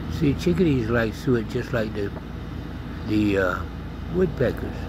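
The pitch swings very widely. The sound is dry with no echo, though noticeable background noise is present. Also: man. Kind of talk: casual narration of wildlife. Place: garden. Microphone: phone near.

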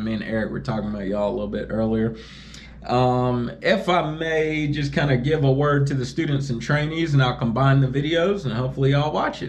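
A man speaks at a moderate pace with ordinary pitch variation. Light background noise is present. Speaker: truck driver vlogger. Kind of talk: casual vlog chat. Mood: relaxed, friendly. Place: home room. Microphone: phone near.

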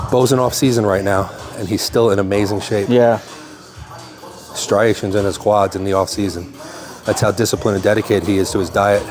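Clear music plays behind a man speaking fairly quickly in a fairly low pitch with fairly even intonation. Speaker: bodybuilding coach. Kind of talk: tutorial. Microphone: lapel.

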